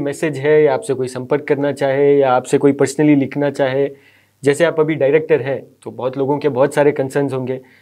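A man's fairly high voice with a dark, mellow tone, over a quiet background. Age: young. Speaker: interviewer. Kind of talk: interview. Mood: warm, polite, respectful. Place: studio.

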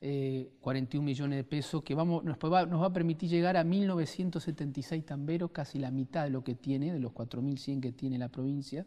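Over a quiet background, a man with a dark, mellow tone speaks at a moderate pace with fairly even intonation and hardly any pauses. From Santa Fe province, Argentina (small town). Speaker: provincial government minister. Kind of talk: interview. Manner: hesitant, many fillers. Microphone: lapel.

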